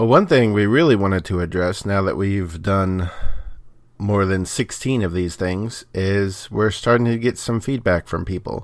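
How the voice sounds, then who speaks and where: In an unremarkable speaking voice, a man talks at a fairly low pitch and a moderate pace with ordinary pitch variation, on a very clean recording with a silent background. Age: 40s. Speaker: podcast co-host and editor. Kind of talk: casual chat.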